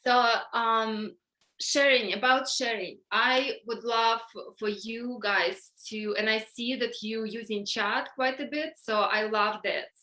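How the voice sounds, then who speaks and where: A woman speaks very slowly with a bright, sharp tone, a fairly high pitch and fairly even intonation. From Ukraine, Donetsk. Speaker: workshop leader. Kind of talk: online workshop talk. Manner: halting, many fillers.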